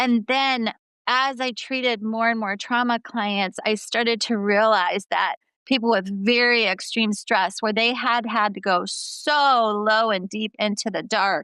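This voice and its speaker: Over a quiet background, a woman with a bright, sharp tone and fairly high pitch speaks at a fairly slow pace with fairly even intonation. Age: 50s. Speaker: clinical psychologist. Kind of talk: interview.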